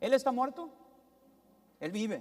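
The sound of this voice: Speaking slowly in a northern Mexican accent, a man uses an extremely high pitch and a slightly mellow tone, with big pitch swings.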